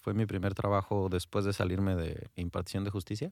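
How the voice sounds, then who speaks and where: A man speaks at a fairly quick pace in a fairly low, monotone voice with flat intonation, on a very clean recording with a silent background. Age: 30s. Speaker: former lawyer turned course instructor. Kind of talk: radio interview. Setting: radio studio.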